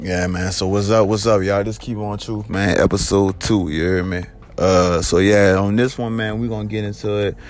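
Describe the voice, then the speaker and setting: A man's fairly low, monotone voice with flat intonation and audible room echo. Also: moderate pace. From Georgia, US South. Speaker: podcast host telling life story. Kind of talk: personal storytelling monologue. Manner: casual, full of fillers.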